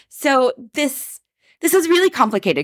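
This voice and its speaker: An unremarkable speaking voice, this woman's lively intonation moves at a moderate pace on a very clean recording with a silent background and a dry, close sound with no echo. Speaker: podcast host and novelist.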